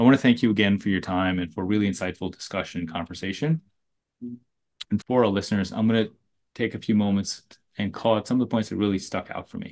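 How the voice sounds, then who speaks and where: A man's fairly low voice at a very fast pace, with ordinary pitch variation and a quiet background. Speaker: podcast co-host. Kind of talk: interview.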